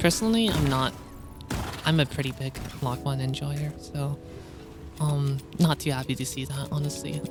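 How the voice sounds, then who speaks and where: A woman mumbles at a moderate pace in a very deep, low voice with very wide pitch swings and long, frequent pauses, with music playing in the background. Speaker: gamer. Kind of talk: gameplay commentary. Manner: occasionally mumbling, hesitant.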